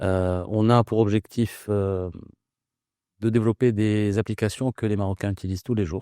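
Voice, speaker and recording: Recorded very cleanly with a silent background and a dry, close sound with no echo, a man speaks at a moderate pace in a fairly low pitch with a dark, mellow tone and fairly even intonation. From Morocco, Casablanca. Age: 40s. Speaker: startup founder. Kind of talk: interview.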